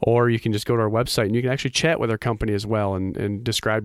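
Very fast and fairly low-pitched, a man with an American accent speaks with ordinary pitch variation. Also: very clean recording, silent background. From Michigan, US Midwest. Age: 30s. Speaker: small business owner, electrical contractor. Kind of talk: radio interview.

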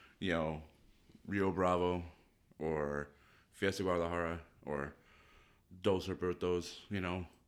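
A man speaks at a moderate pace in a very deep, low voice with fairly even intonation. The recording is very clean, with a silent background. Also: long, frequent pauses. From Mexico. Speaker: shop owner. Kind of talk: casual chat.

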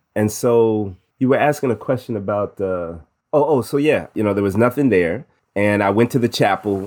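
Very clean and set against a silent background, a man's plain, everyday voice comes at a fairly low pitch and moderate pace, with ordinary pitch variation and an American accent. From US Midwest. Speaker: university chaplain, musician. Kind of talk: interview.

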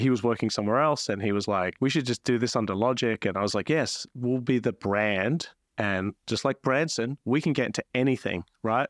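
A man with an Australian accent at medium pitch, ordinary pitch variation, very even loudness, moderate pace, dry and close sound with no echo, quiet background. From South Australia, Adelaide. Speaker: entrepreneur. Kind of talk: interview conversation.

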